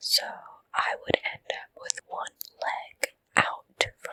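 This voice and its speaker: A woman is whispering. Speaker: ASMR creator. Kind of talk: whispered ASMR ramble. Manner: whispering, soft, slow, with yawns.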